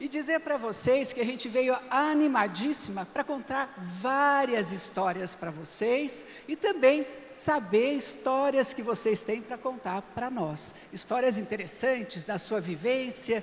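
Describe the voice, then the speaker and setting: A woman speaks very slowly in a high pitch with lively intonation and hardly any pauses. The room echo is audible and the background noise is noticeable. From Brazil, São Paulo. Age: 60s. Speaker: project committee president. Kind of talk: conference talk.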